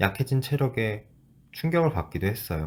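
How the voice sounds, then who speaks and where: Somewhat breathy, a man speaks at a moderate pace with lively intonation on a very clean recording with a silent background. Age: 30s. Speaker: former corporate employee. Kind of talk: personal vlog narration.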